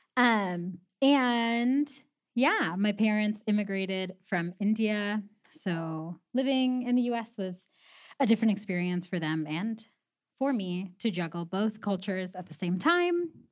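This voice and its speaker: A woman with an American accent, an ordinary speaking voice, medium pitch, lively intonation and a fairly slow pace. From Southern California (Pasadena). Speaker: community advocate. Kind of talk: talk to a youth group.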